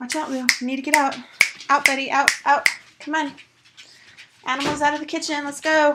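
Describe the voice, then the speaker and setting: Her pace is fairly quick, broken by long, frequent pauses. This woman has a high pitch and a monotone, flat intonation. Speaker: lifestyle vlogger. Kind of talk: casual house tour vlog. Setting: at home, walking through house. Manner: quieter while child naps upstairs.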